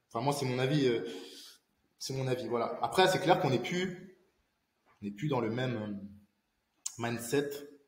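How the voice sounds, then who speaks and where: Light background noise and audible room echo behind a male speaker. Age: 20s. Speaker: independent IT infrastructure consultant; interview guest. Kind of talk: casual interview. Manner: halting, many fillers and repetitions. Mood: calm, thoughtful. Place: home room.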